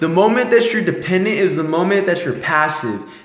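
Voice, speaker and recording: Noticeable background noise and audible room echo surround the recording. A man speaks at a high pitch and a fairly quick pace. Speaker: motivational vlogger. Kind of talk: motivational monologue. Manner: mumbling; animated.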